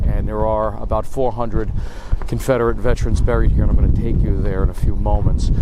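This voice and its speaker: A man's voice comes through with audible room echo and noticeable background noise behind it. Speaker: history video host. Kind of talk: on-location history vlog. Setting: outdoors at a cemetery. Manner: quiet, subdued.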